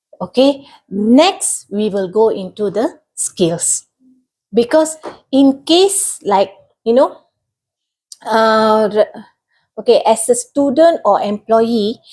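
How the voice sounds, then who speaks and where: Pausing long and often, a woman speaks very slowly at a fairly high pitch, her dark, mellow tone carried by lively intonation. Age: 40s. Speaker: government assistant director. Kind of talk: interview answers. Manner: halting, self-correcting.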